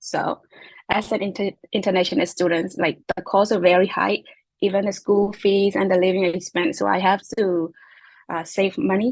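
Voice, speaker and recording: In a Myanmar accent, a woman speaks at a medium pitch and moderate pace with fairly even intonation, in a dry, close sound with no echo. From Myanmar (Chin ethnic group). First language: Chin. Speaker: graduate student. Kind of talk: interview. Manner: halting, many fillers.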